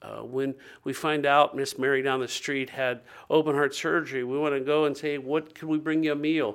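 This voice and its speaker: A man with a US Midwestern accent, fairly high pitch, flat monotone intonation and a moderate pace, on a very clean recording over a silent background. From Ohio, US Midwest. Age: 50s. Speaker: nonprofit director and minister. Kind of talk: interview.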